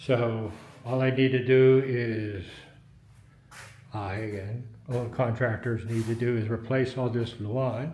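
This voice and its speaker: Speaking at a very slow pace with long, frequent pauses, a man delivers flat, monotone intonation in a medium pitch and a dark, mellow tone, with audible room echo around him. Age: 60s. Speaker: retired real estate investor and vlogger. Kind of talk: walkthrough tour of a house. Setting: inside a house being renovated. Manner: loud; casual.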